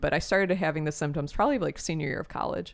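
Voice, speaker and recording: A woman with a normal speaking voice talks at a fairly low pitch with ordinary pitch variation. The recording is very clean, with a silent background. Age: 30s. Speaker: musician guest. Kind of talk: casual interview chat.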